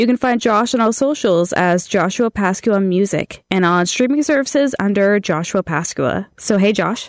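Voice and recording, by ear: A woman with a nasal voice speaks with lively intonation, recorded with a dry, close sound and no echo. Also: medium pitch for a woman, moderate pace, few pauses.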